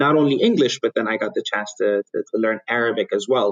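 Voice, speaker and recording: The recording of a man with an Ethiopian accent sounds dry and close, with no echo. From Ethiopia and Yemen. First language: Amharic. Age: 30s. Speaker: private equity investor. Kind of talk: interview.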